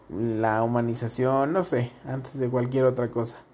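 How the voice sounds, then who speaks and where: A man with a Mexican accent, fairly slow pace and ordinary pitch variation. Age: 20s. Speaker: podcaster and streamer. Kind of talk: casual vlog monologue. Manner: animated.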